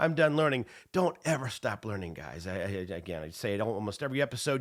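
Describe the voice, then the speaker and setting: Very fast speech from a man with an American accent and a medium pitch. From US Midwest, Indiana. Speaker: real estate exam instructor and podcast host. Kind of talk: casual podcast monologue. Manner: halting, many fillers and repeats.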